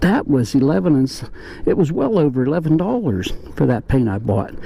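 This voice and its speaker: A man with an American accent talks at a fairly quick pace, his pitch swinging very widely. Noticeable background noise runs beneath his voice. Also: fairly high pitch for a man. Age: 60s. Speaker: motorcycle hobbyist vlogger. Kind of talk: casual vlog monologue. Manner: conversational, rambling asides.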